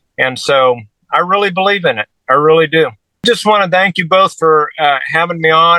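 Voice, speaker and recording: Dry and close with no echo, the voice of a man with an American accent has a bright, sharp tone and a fairly high pitch, with ordinary pitch variation at a moderate pace. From Kansas, US. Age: 60s. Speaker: carpenter and youth outdoors leader. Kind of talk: interview conversation. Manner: halting, repeats words.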